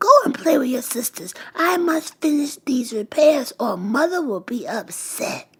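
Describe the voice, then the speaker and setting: A put-on character voice with very wide pitch swings and hardly any pauses. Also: woman, high pitch for a woman, moderate pace. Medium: read story.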